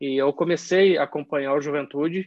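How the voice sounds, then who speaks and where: A man with an ordinary speaking voice, fairly high in pitch, with fairly even intonation. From southern Brazil, Caxias do Sul (Rio Grande do Sul). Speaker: football fan. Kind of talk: casual chat.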